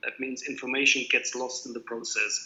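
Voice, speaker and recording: Noticeable noise fills the background. Through it, a man speaks at a moderate speed. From Greece (German family, also Japan and France). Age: 50s. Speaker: graphic designer. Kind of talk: lecture. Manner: hesitant, with fillers.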